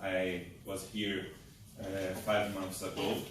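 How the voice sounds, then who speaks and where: A man is speaking with noticeable background noise. Room echo is audible. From Brazil, Pará (Belém). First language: Portuguese. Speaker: thoracic surgeon. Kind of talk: conference talk. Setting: lecture hall with audience. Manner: halting, with many fillers.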